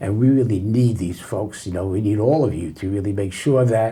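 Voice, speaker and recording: A man talks at a fairly quick pace with lively intonation and a dark, mellow, somewhat breathy tone. Room echo is audible. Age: 80s+. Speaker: federal judge. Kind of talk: casual interview.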